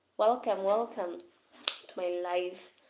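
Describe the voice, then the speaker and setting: A woman with a Kenyan accent speaks at a very slow pace. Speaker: teacher discussing literature setbook. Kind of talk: live stream talk to viewers. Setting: live stream.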